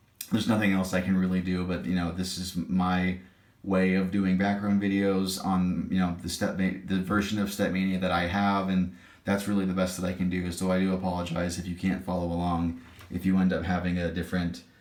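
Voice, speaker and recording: Very deep and low, a man's voice runs at a fairly quick pace in a monotone, flat intonation, with audible room echo. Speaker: gaming tutorial YouTuber. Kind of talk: tutorial. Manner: halting, stammering.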